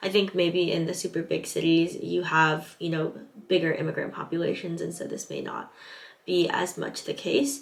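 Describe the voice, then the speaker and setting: A woman with a Californian accent at a moderate pace. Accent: Californian American English. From Southern California. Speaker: English teaching assistant, vlogger. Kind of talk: vlog advice talk, partly read from notes.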